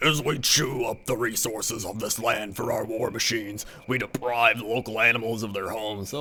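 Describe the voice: A man does a raspy, put-on character voice at a medium pitch. He talks at a fairly quick pace over clear background noise.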